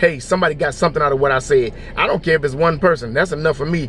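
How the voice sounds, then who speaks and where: Noticeable background noise sits behind a man speaking at a very fast pace in a fairly high pitch. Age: 50s. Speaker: motivational vlogger. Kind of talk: inspirational talk.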